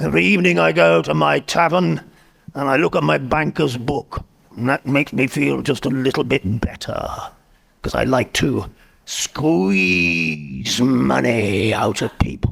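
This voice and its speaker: A man's put-on character voice at medium pitch, with very wide pitch swings and a moderate pace. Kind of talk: in-character improvised interview. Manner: grumpy, curt.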